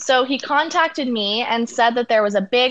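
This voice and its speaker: This woman has a fairly high pitch. She speaks with a Canadian accent. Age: 20s. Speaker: dancer and actor. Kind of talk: interview.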